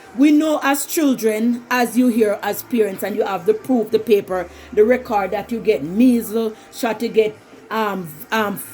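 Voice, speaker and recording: Music plays in the background as the speaker talks at a moderate pace in a Jamaican accent. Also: woman. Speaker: vlogger. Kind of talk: personal commentary monologue. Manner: halting.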